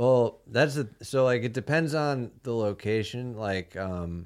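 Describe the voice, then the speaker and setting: Recorded very cleanly against a silent background, a man speaks. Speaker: stand-up comedian. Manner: deadpan, monotone.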